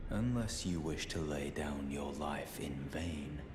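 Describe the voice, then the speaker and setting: A man's put-on character voice at a fairly slow pace, with slight echo and loud background noise. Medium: game stream. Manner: grave, stern.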